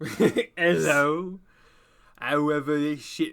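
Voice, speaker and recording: This is a put-on character voice at a middle pitch. It drawls along at a fairly slow pace. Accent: southern British. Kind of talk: casual. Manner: lazy, drawling.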